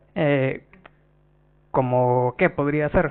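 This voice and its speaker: There is noticeable background noise. Through it, a man speaks at a medium pitch. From Nicaragua. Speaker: software developer and database speaker. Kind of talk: conference tech talk. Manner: hesitant, many filler sounds.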